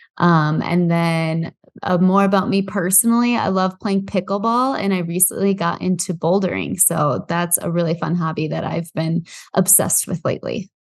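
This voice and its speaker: In a quiet background, a woman with an American accent and a fairly low pitch speaks at a moderate pace with fairly even intonation. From US Midwest, Iowa. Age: 20s. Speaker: real estate investor. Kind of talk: podcast interview.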